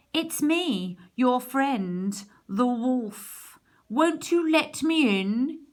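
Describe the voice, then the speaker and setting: A woman puts on a growling character voice, pitched high. She speaks very slowly. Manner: coaxing, wheedling.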